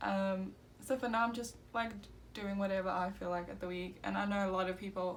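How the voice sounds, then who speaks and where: Audible room echo surrounds this woman as she talks in a medium pitch. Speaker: beauty YouTuber. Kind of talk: makeup tutorial. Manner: casual, filler-heavy.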